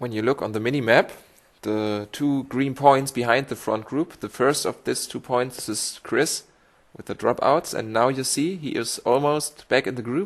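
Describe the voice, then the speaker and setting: The speaker has a German accent, talks at a moderate pace and shows ordinary pitch variation. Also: man, medium pitch for a man. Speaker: esports cycling racer and commentator. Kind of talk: race highlights commentary. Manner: halting.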